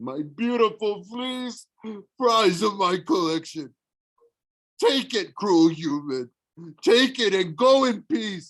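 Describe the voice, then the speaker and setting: Using a put-on character voice, a man bellows at a high pitch and a fairly slow pace, with long, frequent pauses. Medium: read story. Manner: bellowing, crude.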